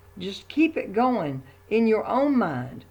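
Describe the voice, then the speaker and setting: A woman speaks at a fairly high pitch with vocal fry. Her pace is fairly slow. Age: 70s. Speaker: religious video blogger. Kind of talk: opinion monologue. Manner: hesitant, with fillers.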